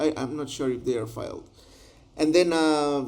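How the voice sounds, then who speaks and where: A man speaks with a Spanish accent, his voice pitched fairly high. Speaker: translator. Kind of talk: tutorial. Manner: halting.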